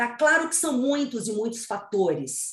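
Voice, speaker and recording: Somewhat breathy and fairly high, a woman's voice carries lively intonation. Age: 60s. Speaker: psychologist and author. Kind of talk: interview, expert advice.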